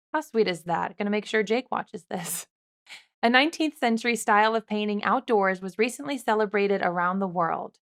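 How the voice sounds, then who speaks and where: In a very clean recording with a silent background and a dry, close sound with no echo, a woman with an unremarkable speaking voice talks fairly quickly at a fairly high pitch with ordinary pitch variation. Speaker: news host. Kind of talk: upbeat news anchor delivery.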